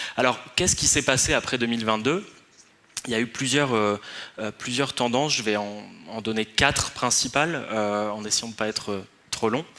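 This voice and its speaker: Moderate pace over noticeable background noise. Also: man, medium pitch for a man, ordinary pitch variation. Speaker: researcher on influence strategies. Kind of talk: conference talk. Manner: hesitant, many fillers.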